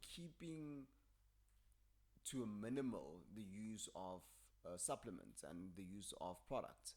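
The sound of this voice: With a slightly mellow tone and lively intonation, a man talks at a slow pace and a fairly low pitch.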